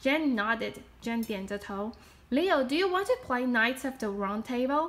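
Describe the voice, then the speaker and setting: With a Chinese accent, a woman speaks at a fairly slow pace in a high pitch, her intonation lively and her loudness swinging widely. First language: Mandarin Chinese. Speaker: storyteller; storybook reader. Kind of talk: reading aloud. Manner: animated; halting. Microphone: phone near.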